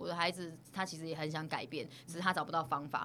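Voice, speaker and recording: Speaking very fast in a bright, sharp tone, a woman with a Taiwanese accent has a fairly low pitch for a woman. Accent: Taiwanese Mandarin. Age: 30s. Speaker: social worker. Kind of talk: interview. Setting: studio.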